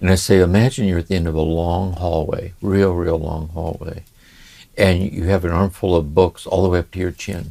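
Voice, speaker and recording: In a very clean recording with a silent background, a man speaks very deep and low with a dark, mellow tone. His intonation is monotone and flat, and his pace moderate. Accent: American. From US Midwest, Ohio. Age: 70s. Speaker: spiritual teacher. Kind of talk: conversational interview. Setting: home study. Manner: reflective, with many hesitations.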